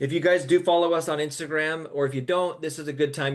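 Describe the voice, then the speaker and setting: A man's fairly high voice in an American accent, very fast in pace and fairly even in intonation. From Texas. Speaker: realtor, team lead. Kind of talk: webinar presentation.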